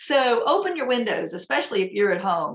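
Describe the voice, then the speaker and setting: A woman speaks at a moderate pace in a high pitch. She has an American accent. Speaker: holistic health presenter. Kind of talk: presentation.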